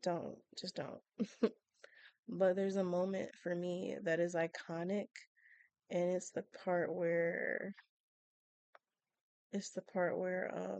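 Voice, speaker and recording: A soft-spoken woman at a fairly low pitch, very slow and monotone with flat intonation, long, frequent pauses, and a dry, close sound with no echo. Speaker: Sims gaming YouTuber. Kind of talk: casual chat. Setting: at home at night.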